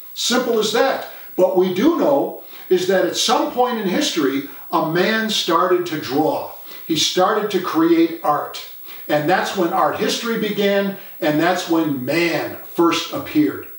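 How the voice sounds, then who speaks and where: Over noticeable background noise and audible room echo, a man talks fairly slowly in a high-pitched voice with lively intonation. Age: 60s. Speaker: art writer and essayist. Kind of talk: casual talk to camera about art.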